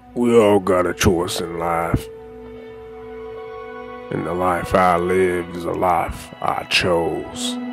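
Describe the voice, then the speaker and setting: A man speaks in a put-on character voice, pitched very deep and low. He talks at a very slow pace over clear background music. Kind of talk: western-style voice acting of famous movie and game lines. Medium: voice reel. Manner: menacing, threatening.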